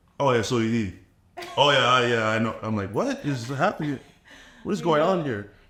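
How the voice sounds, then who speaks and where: Over noticeable background noise, a man with a medium pitch talks at a fairly quick pace with lively intonation and long, frequent pauses. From Canada. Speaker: dating show contestant. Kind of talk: casual chat. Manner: halting.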